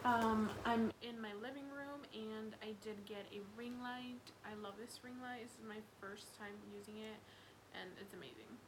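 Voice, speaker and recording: Fairly high in pitch, a woman speaks slowly with monotone, flat intonation. Audible room echo and noticeable background noise fill the recording. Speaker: beauty vlogger. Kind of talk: casual product review monologue. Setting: home living room.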